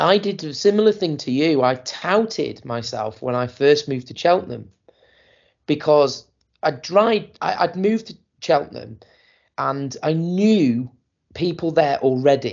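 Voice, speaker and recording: Speaking with lively intonation at a moderate pace, a man uses a fairly high pitch in a plain, everyday voice. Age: 40s. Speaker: podcast host and DJ. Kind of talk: casual chat. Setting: online call.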